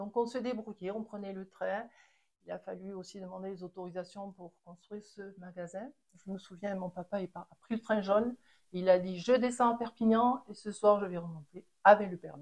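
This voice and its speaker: The woman's intonation is fairly even, at a medium pitch and moderate pace. Her loudness swings widely. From French Pyrenees, Les Angles. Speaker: chalet owner, ski shop family. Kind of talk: interview storytelling. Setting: at her home. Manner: halting, repeats words.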